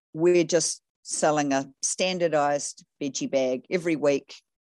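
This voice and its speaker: With an American accent, a woman speaks very slowly in a very deep, low pitch with ordinary pitch variation, the sound dry and close with no echo over a quiet background. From New Zealand. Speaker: farmer and coach. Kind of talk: casual interview conversation.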